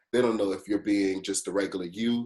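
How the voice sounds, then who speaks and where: The pitch sits fairly low for this male speaker. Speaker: program fellow. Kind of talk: casual chat. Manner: loud.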